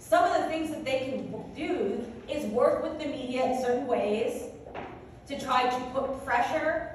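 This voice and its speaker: A high-pitched woman's voice with audible room echo and noticeable background noise. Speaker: legal professional on panel. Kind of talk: panel discussion. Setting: conference room with audience and microphone. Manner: loud.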